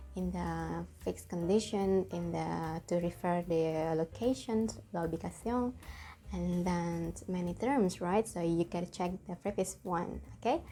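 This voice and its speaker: A woman speaks with an Indonesian accent. Her pace is fairly slow. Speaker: language teacher. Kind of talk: tutorial. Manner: halting, with fillers.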